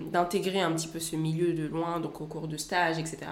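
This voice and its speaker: A woman speaks at a fairly low pitch. Noticeable background noise and audible room echo surround her voice. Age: 20s. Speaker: student and content creator. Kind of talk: interview conversation.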